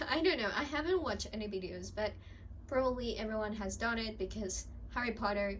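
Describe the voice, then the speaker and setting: A woman's fairly high voice, fairly quick and lively in intonation, with audible room echo and noticeable background noise. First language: not English (Spanish third language). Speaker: book vlogger. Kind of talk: casual chat. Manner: rambling, hesitant.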